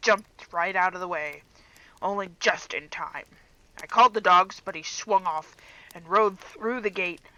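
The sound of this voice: This is an unforced reading voice. It carries through the clip.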